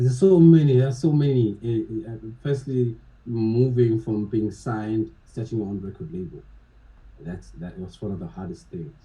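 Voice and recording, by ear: At a moderate pace, a man talks with a fairly low pitch, a dark, mellow tone and ordinary pitch variation.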